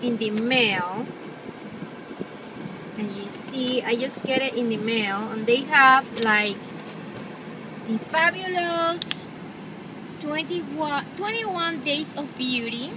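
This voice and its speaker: Speech comes at a very slow pace with lively intonation. The sound is dry with no echo, though noticeable background noise is present. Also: woman. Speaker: beauty vlogger. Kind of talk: casual vlog chat. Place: car. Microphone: phone near.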